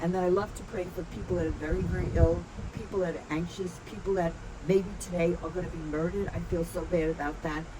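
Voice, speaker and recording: A woman's fairly low voice at a fairly quick pace, with fairly even intonation and noticeable background noise. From Ireland. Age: 80s+. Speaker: clinical psychologist and trauma specialist. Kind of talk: interview answer.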